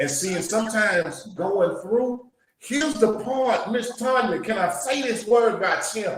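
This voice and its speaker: An animated tone in a Louisiana accent, fairly slow in pace with ordinary pitch variation, amid audible room echo. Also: man, high pitch for a man. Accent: Louisiana Southern US. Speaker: podcast host. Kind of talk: casual interview. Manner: animated, preacher-like.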